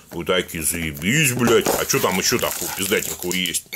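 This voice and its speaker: A man's voice with noticeable background noise. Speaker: product reviewer. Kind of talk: casual unboxing commentary. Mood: joking, mock-excited, profane.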